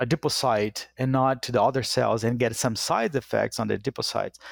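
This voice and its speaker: In a very clean recording with a silent background and a dry, close sound with no echo, a man with a Portuguese accent speaks at a medium pitch and a moderate pace with fairly even intonation. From Brazil. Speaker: animal science professor. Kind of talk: interview. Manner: halting.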